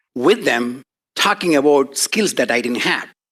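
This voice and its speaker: A man talks with a non-native accent. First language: not English. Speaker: professor. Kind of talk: lecture.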